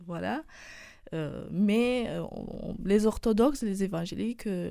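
With a Romanian accent, a woman of medium pitch speaks at a fairly slow pace with ordinary pitch variation on a very clean recording with a silent background. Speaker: university student. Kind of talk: radio interview. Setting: studio. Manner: halting.

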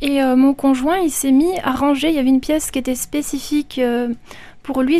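Noticeable background noise sits behind a woman's high-pitched voice. She speaks at a moderate pace with fairly even intonation. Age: 30s. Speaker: listener giving testimony. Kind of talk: testimony. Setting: studio. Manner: hesitant, many fillers.

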